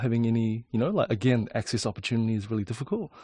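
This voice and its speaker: This man's voice has a somewhat breathy quality. His intonation is fairly even. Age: 20s. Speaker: architect and designer. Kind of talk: interview. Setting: in a camper van.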